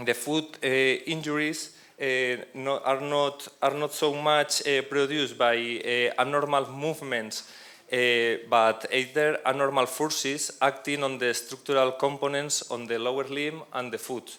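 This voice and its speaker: A man speaks at a fairly slow pace with a Spanish accent and a monotone, flat intonation. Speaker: professor. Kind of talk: conference presentation. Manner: halting, many hesitations and restarts. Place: hall. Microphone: handheld.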